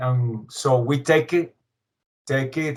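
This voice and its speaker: Very slowly, a man talks at a fairly high pitch with fairly even intonation. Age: 40s. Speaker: metal musician. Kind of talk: interview. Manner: halting.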